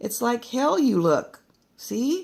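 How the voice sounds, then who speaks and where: A female-sounding voice performs a put-on character voice in a high pitch. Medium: read story. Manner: blunt, colloquial.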